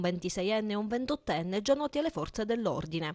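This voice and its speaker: A plain, everyday voice from a woman, fairly high-pitched with lively intonation, dry and close with no echo, over a quiet background. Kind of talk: newsreading. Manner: formal; brisk, even and impersonal, like a local TV news bulletin.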